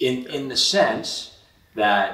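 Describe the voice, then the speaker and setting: A man speaks at a very slow pace. Noticeable background noise sits behind him. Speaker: community interviewer. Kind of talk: interview questions.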